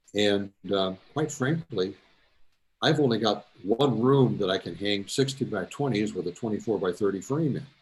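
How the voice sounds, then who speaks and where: The intonation of this man's voice is lively and his pace moderate. There is a somewhat breathy quality to it. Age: 80s+. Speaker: amateur photographer presenting photos. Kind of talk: casual presentation to a club meeting. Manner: halting, many fillers.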